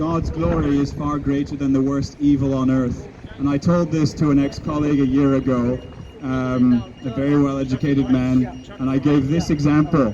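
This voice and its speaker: A man with a fairly high pitch speaks at a moderate pace with fairly even intonation over noticeable background noise. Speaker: street preacher. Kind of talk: scripture reading and sermon delivered in public. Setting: outdoors, street.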